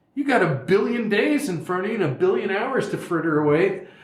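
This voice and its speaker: Noticeable background noise and audible room echo surround the recording. A man speaks at a fairly quick pace. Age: 60s. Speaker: person in long-term addiction recovery. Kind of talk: casual discussion. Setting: studio.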